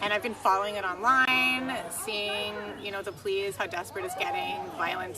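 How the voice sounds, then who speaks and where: In a space with audible room echo and noticeable background noise, a woman speaks at a medium pitch. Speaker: protester. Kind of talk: street interview.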